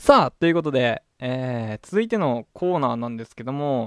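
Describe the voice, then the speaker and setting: A man speaks with a dry, close sound and no echo. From Hokkaido, Japan. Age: 20s. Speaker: internet radio host. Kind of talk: casual solo radio talk. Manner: animated.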